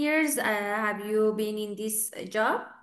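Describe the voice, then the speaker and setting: With an Iranian Azerbaijani accent, a woman with a fairly high pitch speaks at a moderate pace and ordinary pitch variation, audible room echo around her. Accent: Iranian Azeri accent in English. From Iran, Tabriz. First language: Azeri. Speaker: English teacher. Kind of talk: online speaking club conversation.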